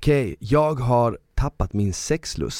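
In a dry, close sound with no echo, a man at medium pitch speaks with a dark, mellow tone and lively intonation. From southern Sweden (Malmö). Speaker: podcast host. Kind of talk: casual chat. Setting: studio.

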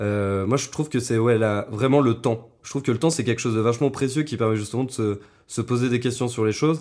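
A man speaks at a medium pitch and a fairly quick pace, with fairly even intonation. The recording is very clean, with a silent background. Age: 20s. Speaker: podcast guest, friend of host. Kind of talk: casual interview chat. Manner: hesitant, many fillers.

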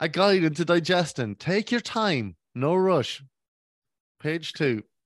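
Very slowly and with lively intonation, a man speaks in an Irish accent at a high pitch. The sound is dry and close, with no echo. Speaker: podcast co-host. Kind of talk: casual chat. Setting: at home.

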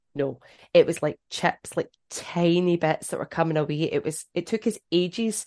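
A woman speaks with a Scottish accent and lively intonation. The recording sounds dry and close with no echo, over a quiet background. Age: 30s. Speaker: runner and social media creator. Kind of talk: casual chat.

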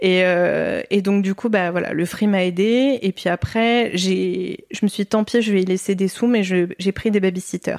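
The loudness stays very even, in a normal speaking voice. The pace is fairly slow, with fairly even intonation. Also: woman, medium pitch for a woman. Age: 30s. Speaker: book editor and author, mother. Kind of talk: casual interview.

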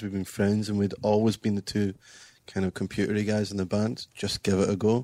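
With a Scottish accent, a man of fairly low pitch speaks in a monotone, flat intonation at a moderate pace, in a very clean recording with a silent background and a dry, close sound with no echo. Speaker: musician in a band. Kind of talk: interview conversation.

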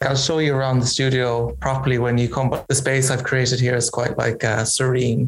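A man with a Kerry accent speaks at a medium pitch and a fairly quick pace, with hardly any pauses. His intonation is monotone and flat, and his loudness very even. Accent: Kerry Irish. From Ireland, County Kerry. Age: 30s. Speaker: fashion designer. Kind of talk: interview. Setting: video call.

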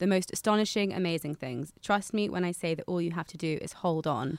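Very fast and fairly low in pitch, a woman speaks with ordinary pitch variation in a dry, close sound with no echo on a very clean recording with a silent background. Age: 20s. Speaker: podcast co-host and lifestyle writer. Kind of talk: casual chat.

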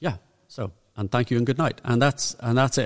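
This is a man speaking with a Northern Irish accent. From Northern Ireland. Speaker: music podcast co-host. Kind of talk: casual chat.

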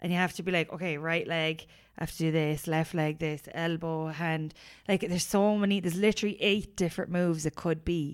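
Fairly low-pitched woman at a fairly quick pace, fairly even intonation, very clean recording with a silent background. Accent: Irish. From Ireland. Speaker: podcast co-host. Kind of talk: casual chat. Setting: recording while travelling in Thailand.

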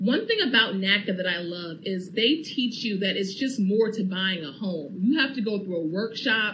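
A woman's medium-pitched voice at a moderate pace, ordinary pitch variation, and audible room echo. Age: young. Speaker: first-time homeowner. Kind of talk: radio testimony interview.

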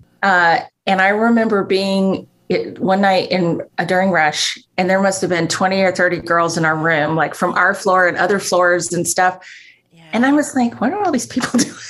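A woman uses an ordinary speaking voice at a moderate pace with ordinary pitch variation. The recording is very clean, with a silent background. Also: medium pitch for a woman. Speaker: grief ministry program director. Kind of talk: casual chat.

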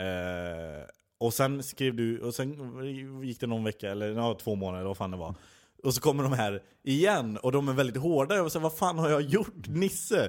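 A man's pitch swings very widely in a very clean recording with a silent background. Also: medium pitch for a man, moderate pace. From Skara, Västergötland, Sweden. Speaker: comedy writer. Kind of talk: casual chat.

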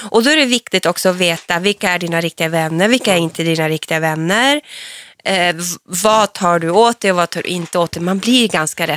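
With an ordinary speaking voice, a woman of fairly low pitch talks at a fairly quick pace with ordinary pitch variation in a dry, close sound with no echo. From northern Sweden (Norrland, Piteå area). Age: 40s. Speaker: reality TV personality. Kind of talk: casual interview.

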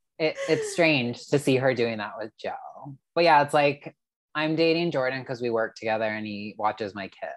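This man has a plain, everyday voice, pitched fairly high. He speaks at a moderate pace with ordinary pitch variation. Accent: Canadian. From Canada. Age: 30s. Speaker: Instagram reality TV commentator. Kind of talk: casual chat.

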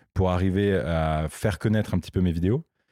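Dry and close with no echo, this very clean recording with a silent background captures a man's very deep, low voice in a dark, mellow tone. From northern France. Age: 20s. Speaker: YouTuber and entrepreneur. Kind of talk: interview. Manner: halting, many fillers and repetitions.

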